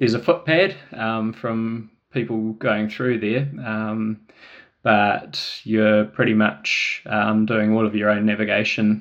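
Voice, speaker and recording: A man's fairly low voice at a very slow pace, fairly even in intonation, over a quiet background. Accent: New Zealand. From New Zealand, Wellington. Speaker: trail runner and adventurer. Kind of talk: casual interview. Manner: hesitant, many fillers.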